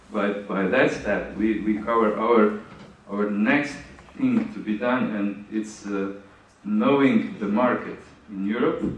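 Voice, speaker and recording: A man with a Slovenian accent speaks at a very slow pace and medium pitch, with ordinary pitch variation. Noticeable background noise and audible room echo are present. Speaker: conference speaker on grants. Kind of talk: conference Q&A. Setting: conference hall with audience. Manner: halting.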